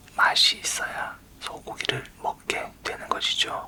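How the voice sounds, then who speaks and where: Amid noticeable background noise, a man is whispering. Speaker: university professor of smart livestock science. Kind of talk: lecture-style explanation in ASMR whisper series. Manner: soft-spoken, close-mic, explanatory.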